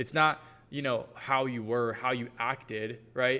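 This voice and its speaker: A man with an American accent speaks at a moderate pace in a medium pitch, his tone bright and sharp but his intonation monotone and flat. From US South, Georgia. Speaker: brand coach. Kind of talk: live workshop Q&A. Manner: casual, filler-heavy.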